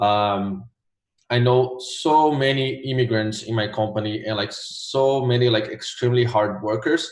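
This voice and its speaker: With a Portuguese accent, a man speaks at a fairly slow pace and medium pitch, his intonation fairly even. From Brazil, Rio de Janeiro. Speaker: graphic designer, former test taker. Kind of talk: interview. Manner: many fillers (um, like).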